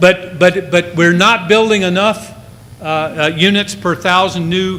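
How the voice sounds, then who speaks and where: The delivery is fairly slow with ordinary pitch variation. Noticeable background noise is present. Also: man. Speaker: real estate economist. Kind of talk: conference presentation. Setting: stage with audience.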